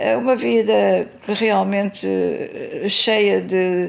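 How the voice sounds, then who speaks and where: A woman speaks at a very slow pace. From Mozambique (Maputo, then Beira). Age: 80s+. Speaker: interviewee recounting family church history. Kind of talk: oral history interview. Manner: hesitant, with fillers.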